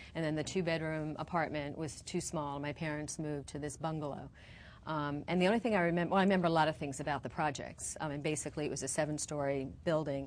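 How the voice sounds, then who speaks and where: Speaking at a very fast pace, a woman with an American accent talks in a very deep, low pitch, her intonation fairly even. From New York, the Bronx. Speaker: zoning attorney. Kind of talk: interview.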